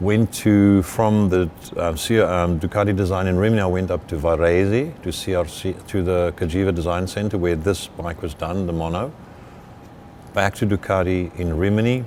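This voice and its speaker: At a moderate pace, a man speaks with a very deep, low pitch and fairly even intonation. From South Africa, Eastern Cape. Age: 60s. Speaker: motorcycle designer. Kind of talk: interview. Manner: halting.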